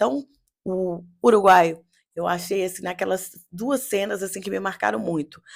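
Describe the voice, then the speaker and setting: An animated woman's voice at medium pitch, with vocal fry, a moderate pace, and a very clean recording with a silent background. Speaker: therapist and reality show commentator. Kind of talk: casual commentary.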